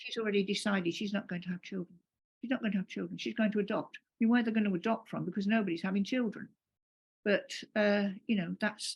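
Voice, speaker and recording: Her pace is very fast, with ordinary pitch variation. The woman's medium-pitched voice is somewhat breathy. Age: 70s. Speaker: panelist. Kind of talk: casual chat.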